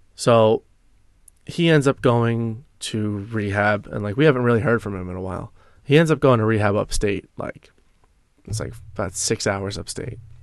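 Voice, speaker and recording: This man has an unremarkable speaking voice with an American accent, a fairly low pitch and a moderate pace. His loudness swings widely against a quiet background. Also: ordinary pitch variation. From US suburbs, same town as co-host. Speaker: former addict sharing recovery story. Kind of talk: personal testimony in casual interview.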